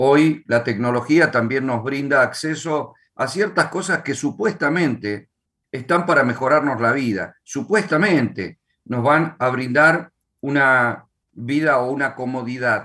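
In an Argentine accent, the speaker uses a bright, sharp tone at a fairly slow pace. Pitch variation is ordinary. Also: man, fairly high pitch for a man. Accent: Argentine Spanish (voseo). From Argentina. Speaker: pastor and author. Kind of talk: casual chat.

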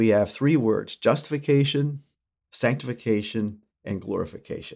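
A man at medium pitch with lively intonation, a moderate pace, and vocal fry. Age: 60s. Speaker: former school teacher and speaker on church theology. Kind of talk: interview teaching. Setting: studio.

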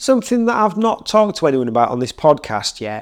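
Pitch swings very widely as a man talks fairly quickly. The background is silent and the recording very clean. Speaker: podcast host and DJ. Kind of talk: casual interview. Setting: in person, in a room.

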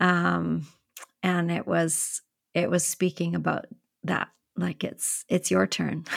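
A woman with a Canadian accent speaks at a very slow pace with long, frequent pauses. The sound is dry and close, with no echo. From Canada. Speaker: podcast host. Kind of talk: interview conversation.

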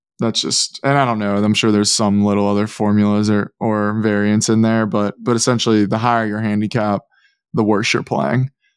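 Fairly low in pitch, a man talks at a fairly quick pace in a plain, everyday voice, with fairly even intonation and very even loudness. The recording is very clean, with a silent background. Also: dry, close sound with no echo. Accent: American. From Pittsburgh, Pennsylvania, US. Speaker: NIL expert, former college basketball player. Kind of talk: podcast interview.

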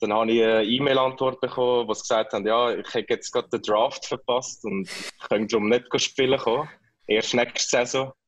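Flat, monotone intonation at a fairly quick clip. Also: man, medium pitch for a man. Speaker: ice hockey player, national team captain. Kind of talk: interview.

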